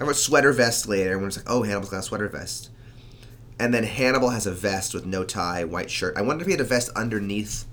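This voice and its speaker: Audible room echo around a man's fairly low voice, with ordinary pitch variation. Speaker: podcast co-host. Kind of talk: casual chat.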